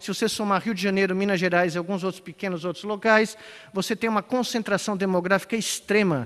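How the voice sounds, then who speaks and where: With noticeable background noise behind him, a man with a high pitch talks at a fairly quick pace and fairly even intonation. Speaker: conference speaker. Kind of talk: conference talk.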